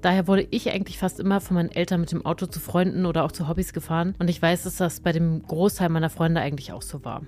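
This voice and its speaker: Speaking very fast with hardly any pauses, a woman uses a fairly low pitch and fairly even intonation. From rural Germany. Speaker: science communication co-host. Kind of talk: casual chat. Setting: podcast studio.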